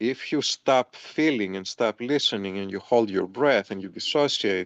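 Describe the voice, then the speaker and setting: In a dry, close sound with no echo, a man with a normal speaking voice talks at medium pitch and a moderate pace with ordinary pitch variation. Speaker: massage therapist. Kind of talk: interview.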